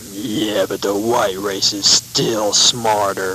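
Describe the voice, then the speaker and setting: A man puts on a character voice, pitched fairly low and delivered at a very slow pace. Background noise is clearly heard. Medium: audio drama. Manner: boorish, laughing.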